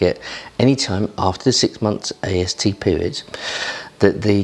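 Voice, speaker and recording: A quiet man with an English accent talks at a moderate pace and a fairly low pitch. Noticeable background noise sits behind him. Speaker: property investor. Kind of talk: vlog talk to camera. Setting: at home early morning. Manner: quiet, low voice.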